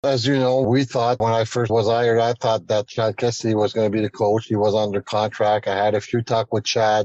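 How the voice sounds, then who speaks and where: In a French Canadian accent, a man talks at a fairly quick pace and medium pitch, flat and monotone, with very even loudness, hardly any pauses, and a dry, close sound with no echo. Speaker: hockey general manager. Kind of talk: radio interview.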